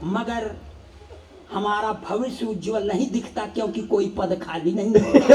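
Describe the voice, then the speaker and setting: Noticeable background noise surrounds a man whose high-pitched voice keeps a fairly even intonation. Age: 60s. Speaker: comedic poet. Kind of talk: stand-up.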